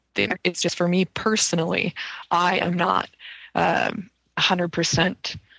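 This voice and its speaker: At a very slow pace with long, frequent pauses, a woman speaks with a bright, sharp tone, vocal fry, fairly low pitch, fairly even intonation and very even loudness, in a dry, close sound with no echo. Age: young. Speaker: UFO journalist. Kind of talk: casual interview chat.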